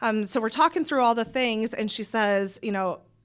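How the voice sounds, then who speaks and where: In a very clean recording with a silent background, a woman with a Midwestern US accent speaks at medium pitch in an animated tone with ordinary pitch variation. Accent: US Midwest. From Iowa. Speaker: small business owner. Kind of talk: casual interview chat. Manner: fast.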